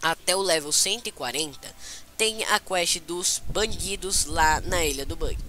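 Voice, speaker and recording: A very slow voice in a Brazilian accent, with music in the background. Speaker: gaming youtuber. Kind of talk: game tutorial. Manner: casual, halting with fillers.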